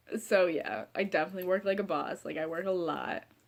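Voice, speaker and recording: A woman talks at a fairly quick pace in an animated tone. She has a medium pitch and a Midwestern American accent. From Ohio. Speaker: vlogger. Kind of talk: casual chat. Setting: sitting in front of couch at home.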